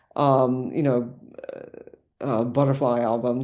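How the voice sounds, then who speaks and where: A woman's very deep, low voice with a dark, mellow tone, an American accent, fairly even intonation, a very slow pace and audible room echo. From United States. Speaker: music theory professor. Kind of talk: podcast interview. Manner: hesitant, many fillers.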